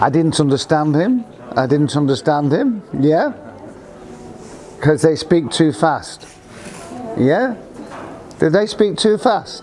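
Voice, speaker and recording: With a northern English accent, the speaker uses lively intonation at a very slow pace, keeping loudness very even through long, frequent pauses over noticeable background noise. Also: man, fairly high pitch for a man. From northern England. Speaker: university staff member. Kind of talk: informal talk to students. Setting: business breakfast event with audience.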